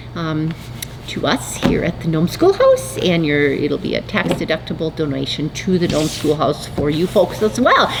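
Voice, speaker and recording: A woman's pitch swings very widely as she talks at a moderate pace through noticeable background noise. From North Dakota. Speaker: fiber arts business owner and channel host. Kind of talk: casual chat. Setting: video recording, sitting alone at camera.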